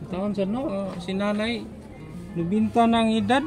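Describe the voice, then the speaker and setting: The speaking pace is moderate. Behind it, music plays. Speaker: charity vlogger. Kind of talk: casual vlog narration and conversation.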